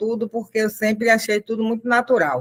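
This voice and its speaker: A woman with an unremarkable speaking voice talks at a moderate pace, her pitch fairly high. The sound is dry and close, with no echo. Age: 60s. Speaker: activist mother. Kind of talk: personal testimony in panel.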